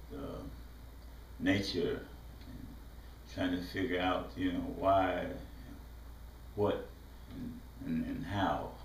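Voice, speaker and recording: Very slow speech with long, frequent pauses, in a Mississippi accent, with audible room echo and noticeable background noise. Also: man. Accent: Southern US, Mississippi. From US South, southwest Mississippi. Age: 70s. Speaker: visual artist. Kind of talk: autobiographical talk. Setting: art studio. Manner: halting, many fillers.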